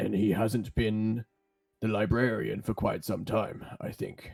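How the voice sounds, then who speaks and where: In a put-on character voice, a man speaks at a fairly slow pace, raspy and fairly low. His intonation is monotone and flat. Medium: actual play.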